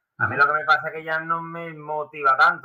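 A man with an Andalusian accent and a fairly high pitch. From Seville, Spain. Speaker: amateur runner and YouTuber. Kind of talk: casual chat.

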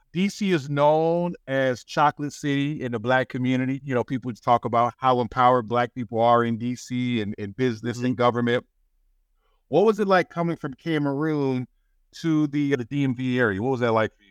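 An ordinary speaking voice from a man at medium pitch, fairly quick pace, ordinary pitch variation, and big swings in loudness, with a dry, close sound with no echo and a quiet background. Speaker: podcast host. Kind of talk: interview conversation.

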